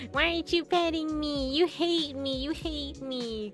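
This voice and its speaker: Over clear background noise, a put-on character voice with a high pitch and a whiny tone goes at a moderate pace. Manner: whiny, accusing, demanding attention.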